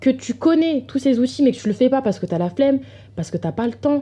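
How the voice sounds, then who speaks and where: A somewhat breathy woman talks with lively intonation. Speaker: podcast host. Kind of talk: casual personal-development talk. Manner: hesitant, many fillers.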